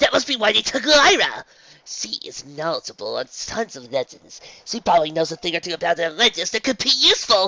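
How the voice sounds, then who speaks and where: A man uses a put-on character voice at a high pitch. He speaks in a raised, projected voice at a fairly quick pace. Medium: read story.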